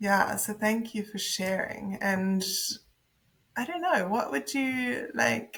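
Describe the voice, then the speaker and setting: A woman in a New Zealand accent at a medium pitch and very slow pace, with lively intonation. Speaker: podcast co-host. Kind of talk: casual interview. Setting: podcast interview.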